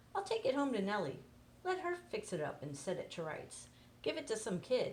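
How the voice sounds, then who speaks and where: A woman performs a put-on character voice. Clear background noise runs behind her. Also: moderate pace. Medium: read story. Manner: easygoing.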